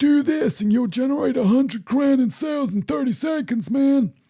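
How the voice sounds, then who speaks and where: Putting on a character voice, the man pitches it extremely high. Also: moderate pace. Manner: hyped, pitching.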